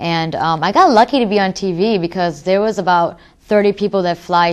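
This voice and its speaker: A woman's fairly low voice with an American accent and ordinary pitch variation, over a quiet background. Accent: American accent when speaking Urdu. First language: Urdu. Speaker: rapper. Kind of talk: interview.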